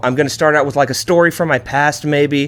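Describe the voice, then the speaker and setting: A man speaks fairly quickly in an animated tone. The background is quiet. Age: 30s. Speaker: podcast host. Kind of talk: casual monologue. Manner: fast.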